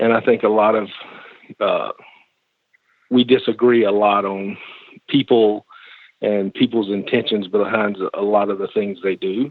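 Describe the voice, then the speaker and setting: A man with a Southern US accent, fairly low pitch, flat monotone delivery and long, frequent pauses. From US South, Georgia. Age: 40s. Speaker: podcast guest, commenter. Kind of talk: conversation.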